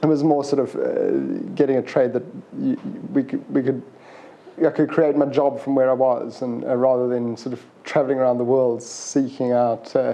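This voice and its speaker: With a South African accent, a man speaks at a moderate pace and medium pitch in a monotone, flat delivery. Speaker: plumber. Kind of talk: interview. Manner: halting.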